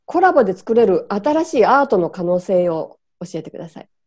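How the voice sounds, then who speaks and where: With a quiet background, a woman talks at a moderate pace with very wide pitch swings. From Japan. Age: 50s. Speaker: photographer and interviewer; interviewer. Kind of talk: interview. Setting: video call. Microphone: video call.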